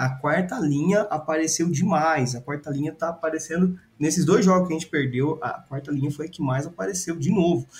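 At a fairly quick pace with hardly any pauses, a man with a fairly high voice speaks with ordinary pitch variation. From Brazil, Ribeirão Preto. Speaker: sports podcast co-host. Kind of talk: casual chat.

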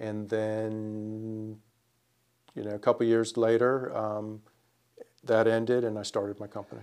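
Talking fairly slowly with an American accent, a man uses a fairly low pitch and monotone, flat intonation, with long, frequent pauses and big swings in loudness. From northern Virginia. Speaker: home builder. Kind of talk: casual interview.

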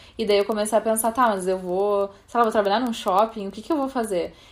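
A woman's voice, pitched in the middle range, holds a flat, monotone delivery on a very clean recording with a silent background. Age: 30s. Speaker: podcast host, fashion journalist. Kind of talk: casual chat.

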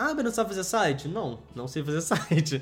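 Over music in the background, a man talks at a moderate pace with a fairly high pitch and lively intonation. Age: 20s. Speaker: business co-founder and podcast co-host. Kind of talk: casual chat.

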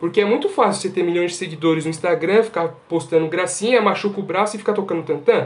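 Very fast, high-pitched male speech with ordinary pitch variation over noticeable background noise. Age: 20s. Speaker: podcast panelist, engineering student. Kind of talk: casual chat.

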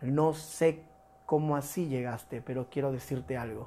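Dark and mellow in tone, a male voice with intonation kept fairly even. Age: 40s. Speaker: pastor. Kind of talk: sermon. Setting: livestreamed church service.

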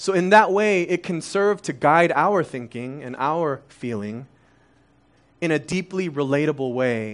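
Against a quiet background, a man with an American accent talks in a normal speaking voice at a fairly high pitch with lively intonation. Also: fairly slow pace. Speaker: church overseer preaching. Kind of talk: sermon. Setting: church with congregation. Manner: conversational, many fillers.

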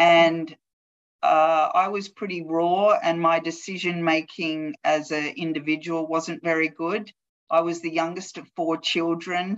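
A woman with an Australian accent speaks in a fairly low pitch and a flat, monotone intonation. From Australia, Newcastle NSW. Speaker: athlete wellbeing manager, former Olympic hockey player. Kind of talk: interview.

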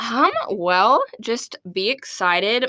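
In a very clean recording with a silent background, a woman speaks with an American accent in a bright, sharp tone. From Arkansas, US South. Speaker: graduate assistant in student programs. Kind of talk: casual interview.

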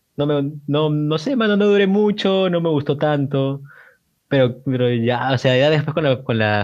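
Lively in intonation yet fairly slow in pace, a man with fairly high pitch speaks in an ordinary speaking voice. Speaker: student, podcast co-host. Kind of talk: casual chat.

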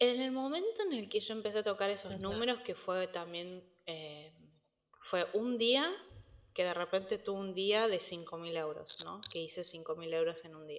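In a Cordoban Argentine accent, a woman speaks at a fairly slow pace with a medium pitch. Her pitch varies in an ordinary way, while her loudness swings a lot. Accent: Argentine Spanish, Córdoba. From Argentina, Córdoba. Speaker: entrepreneur, nutrition coach. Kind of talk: interview conversation. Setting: remote call. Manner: halting, many repetitions.

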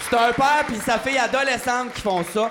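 Amid noticeable background noise, a man with a high pitch talks with ordinary pitch variation. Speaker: comedian podcast host. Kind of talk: casual chat. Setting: stage with audience. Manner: animated.

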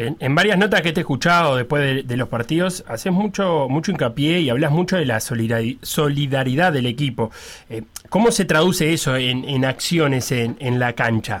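At a moderate pace, a man with a Uruguayan accent talks in a fairly high pitch with lively intonation. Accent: Rioplatense Spanish (Uruguayan). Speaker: sports radio host. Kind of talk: casual sports radio chat and interview.

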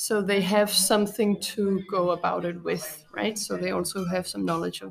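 With a Danish accent, a woman speaks at a moderate pace with hardly any pauses over noticeable background noise. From Copenhagen, Denmark. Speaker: art teacher and artist. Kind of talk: casual interview.

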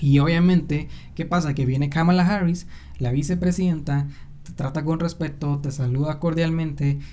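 With music in the background and audible room echo, a man talks in a Mexican accent. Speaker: podcast host. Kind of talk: casual solo commentary. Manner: animated.

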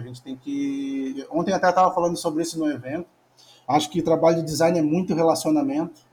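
A man with a high-pitched voice. His pitch varies in an ordinary way. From Rio Grande do Sul, Brazil (Torres, north coast). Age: 40s. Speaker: design lecturer and mentor. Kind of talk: casual interview.

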